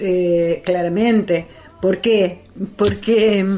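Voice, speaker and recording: Very slow, medium-pitched woman's speech over noticeable background noise. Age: 60s. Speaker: activist. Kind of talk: radio interview. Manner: halting, many fillers.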